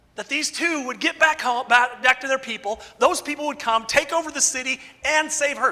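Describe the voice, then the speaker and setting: A man with an extremely high pitch uses a raised, projected voice and an animated tone over noticeable background noise. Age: 50s. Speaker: preacher. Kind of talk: sermon.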